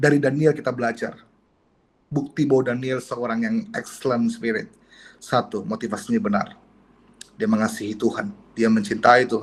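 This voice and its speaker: Lively in intonation and somewhat breathy, a man speaks at a medium pitch and a moderate pace, leaving long, frequent pauses. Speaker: pastor. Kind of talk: sermon. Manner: expressive.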